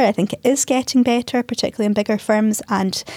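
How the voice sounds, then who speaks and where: A woman with a Scottish accent, a dark, mellow tone and ordinary pitch variation, in a dry, close sound with no echo. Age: 40s. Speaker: lawyer and managing partner. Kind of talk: interview conversation.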